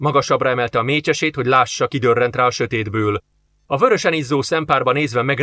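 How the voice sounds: A natural reading voice with ordinary pitch variation over a quiet background.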